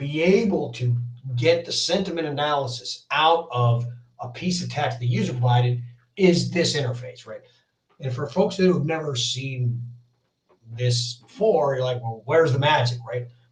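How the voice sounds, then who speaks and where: Audible room echo surrounds a man's voice. He speaks fairly high at a moderate pace with ordinary pitch variation. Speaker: software developer demoing a framework. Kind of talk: technical demo. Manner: hesitant, many fillers.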